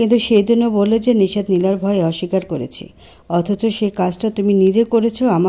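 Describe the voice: The delivery is plain reading aloud.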